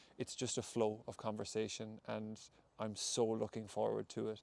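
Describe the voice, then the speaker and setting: Here a man with a western Irish accent talks at a moderate pace and medium pitch. The sound is dry and close, with no echo. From Ireland, County Mayo. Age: 20s. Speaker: podcast host and breathwork facilitator. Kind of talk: solo podcast monologue. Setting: outdoors in a wood.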